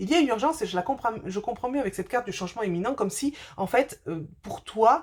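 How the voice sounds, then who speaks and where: Lively intonation marks this woman's speech, delivered at a fairly quick pace. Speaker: spiritual medium doing card readings. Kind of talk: tarot-style oracle reading to camera. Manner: fast; hesitant, many fillers.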